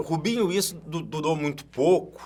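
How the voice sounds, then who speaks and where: A man speaks at a fairly slow pace with vocal fry and a fairly high pitch. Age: 60s. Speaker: sports commentator, radio broadcaster. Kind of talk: casual interview chat.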